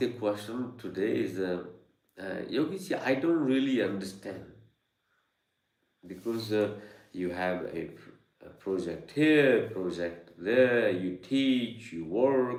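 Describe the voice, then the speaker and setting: A man speaks very slowly at a medium pitch with lively intonation and long, frequent pauses. Audible room echo is present. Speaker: yoga and meditation teacher. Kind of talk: live online Q&A talk. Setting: studio with Zoom and YouTube live stream. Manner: halting, many fillers.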